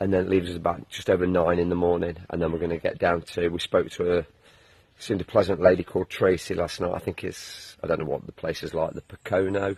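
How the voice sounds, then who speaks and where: Over a quiet background, a man with an English accent talks at a very fast pace in a very deep, low pitch with monotone, flat intonation. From England. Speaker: long-distance hiker, video blogger. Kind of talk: casual video diary.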